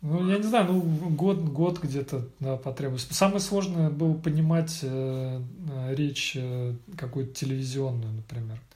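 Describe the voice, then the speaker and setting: A man with a fairly high pitch talks at a fairly slow pace with ordinary pitch variation over noticeable background noise. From Russia, Vladimir and Moscow. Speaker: IT specialist. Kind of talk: casual interview conversation. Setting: late evening, Monday. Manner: hesitant, many fillers.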